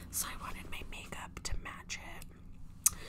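A woman whispers her words at a very slow pace. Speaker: ASMR creator. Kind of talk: ASMR whisper-style talk to camera with air tracing. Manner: casual, chatty, friendly. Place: home room. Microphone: phone near.

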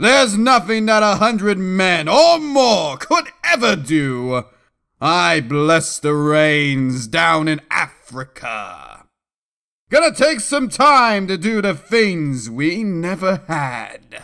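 A man's put-on character voice, high in pitch, very slow, with very wide pitch swings. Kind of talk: comic overdramatic reading. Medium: comedy sketch. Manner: grave, urgent.

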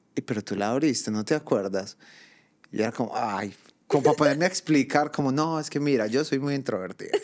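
With lively intonation and a fairly quick pace, a man talks over a quiet background. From Colombia. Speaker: podcast co-host, migrant; podcast co-host. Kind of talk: casual chat. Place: home room.

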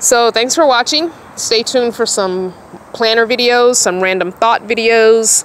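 Fairly slow speech at a very even loudness, with ordinary pitch variation, light background noise and a dry sound with no echo. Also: woman. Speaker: van dweller vlogger. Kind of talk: casual vlog chat. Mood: relaxed, musing. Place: car. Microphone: phone near.

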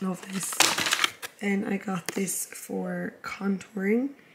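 Noticeable background noise sits behind a woman speaking at a very slow pace in an Irish accent. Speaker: vlogger and fitness coach. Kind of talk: casual vlog.

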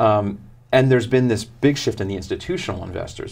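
A somewhat breathy man's voice with an American accent and ordinary pitch variation. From US South, South Florida; Florida. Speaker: author and sustainability consultant; guest. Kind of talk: interview. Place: studio. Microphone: lapel.

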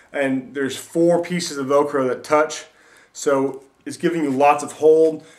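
A man speaks at a fairly slow pace in a monotone, flat intonation, with big swings in loudness. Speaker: MMA practitioner and gear reviewer. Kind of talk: casual product review to camera. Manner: stutters and verbal tics. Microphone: webcam.

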